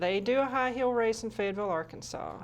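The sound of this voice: A Southern US accent at a fairly quick pace, with ordinary pitch variation. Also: woman. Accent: regional Southern US.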